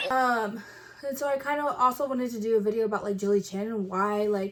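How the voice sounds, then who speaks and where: With an American accent, a woman speaks at a moderate pace in a fairly high pitch, with ordinary pitch variation. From Texas (Kerrville). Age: 20s. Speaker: YouTuber. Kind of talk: casual vlog intro. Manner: hesitant with many fillers.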